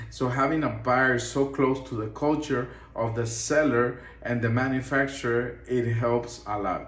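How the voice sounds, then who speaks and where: This is a man with a Spanish accent. There is audible echo from the room. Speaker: import business owner. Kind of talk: tutorial.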